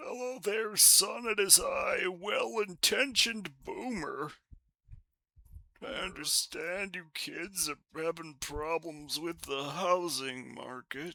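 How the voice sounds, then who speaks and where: Using a put-on character voice, a man speaks at a high pitch with lively intonation and a fairly slow pace. His loudness swings widely. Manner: condescending, smug.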